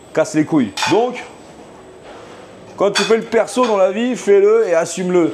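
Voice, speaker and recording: An animated tone with ordinary pitch variation, long, frequent pauses and noticeable background noise. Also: man, high pitch for a man. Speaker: chef streaming live from his restaurant kitchen. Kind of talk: casual live stream chat while cooking.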